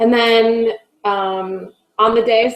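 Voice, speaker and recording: The woman has an American accent. Her intonation stays monotone and flat. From California. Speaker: health volunteer. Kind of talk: casual chat.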